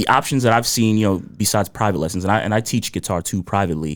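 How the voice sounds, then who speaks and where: Recorded very cleanly against a silent background, a man with a fairly low voice speaks with ordinary pitch variation. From US Northeast (New Jersey), born in Ghana. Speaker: musician and guitar teacher. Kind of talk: podcast interview. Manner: relaxed, with many fillers.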